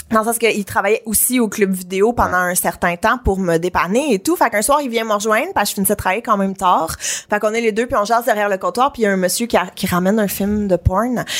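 Talking at a very fast pace, a woman leaves hardly any pauses. Her pitch is medium with ordinary pitch variation. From Quebec, Brossard (South Shore of Montreal). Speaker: author and podcast host. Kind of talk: casual chat.

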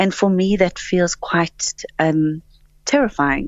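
A woman speaks at a very slow pace with a fairly low pitch. Her pitch varies in an ordinary way. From South Africa. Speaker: actress and director. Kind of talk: radio interview. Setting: phone call.

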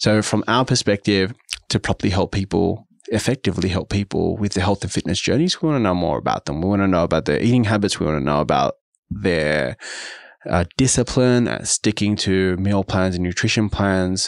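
With an Australian accent, a man speaks at a fairly quick pace with ordinary pitch variation, the sound dry and close with no echo against a quiet background. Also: fairly low pitch for a man. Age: 30s. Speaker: business executive. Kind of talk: interview.

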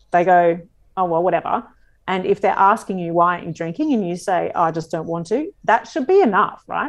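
In an Australian accent, the speech moves at a fairly quick pace with ordinary pitch variation over a quiet background. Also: woman, medium pitch for a woman. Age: 40s. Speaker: comedian and radio host. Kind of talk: casual interview chat. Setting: video call.

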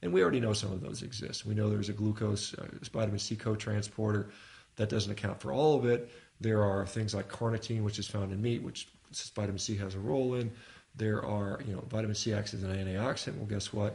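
The speaker talks at a very fast pace, somewhat breathy, with fairly even intonation. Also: man, fairly low pitch for a man. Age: 50s. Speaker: physician and rowing athlete. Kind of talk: casual interview. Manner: casual, frequent fillers.

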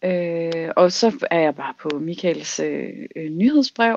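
A woman talks at a very slow pace with a fairly low pitch. Her intonation is lively, broken by long, frequent pauses. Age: 30s. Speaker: self-employed dreamer sharing a dream. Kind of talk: casual chat.

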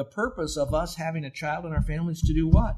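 With an American accent, a man sounds animated and somewhat breathy, his pitch varying in an ordinary way. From US. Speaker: Bible teacher. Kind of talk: sermon. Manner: conversational.

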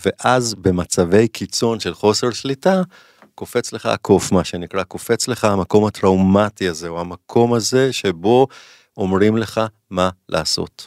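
A man with an unremarkable speaking voice, fairly low in pitch, with ordinary pitch variation and a fairly slow pace, in a very clean, dry, close recording with no echo and a silent background. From Israel, Jerusalem. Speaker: clinical psychologist. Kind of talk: casual interview chat.

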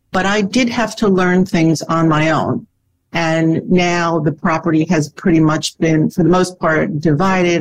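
A woman talks in a normal speaking voice at a fairly slow pace. Her pitch is fairly low, with fairly even intonation. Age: 60s. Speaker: divorced lawyer seeking advice. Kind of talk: advice conversation.

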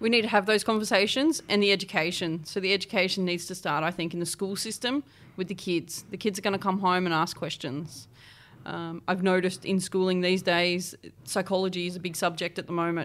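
Speaking at a fairly quick pace, a woman of medium pitch with an Australian accent keeps her intonation fairly even. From Australia, New South Wales east coast. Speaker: homelessness support worker. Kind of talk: interview, lived experience testimony.

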